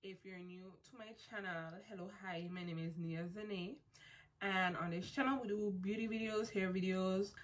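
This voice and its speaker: A woman talks in a plain, everyday voice at medium pitch, keeping a moderate pace and fairly even intonation. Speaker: beauty vlogger. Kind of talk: tutorial. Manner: casual.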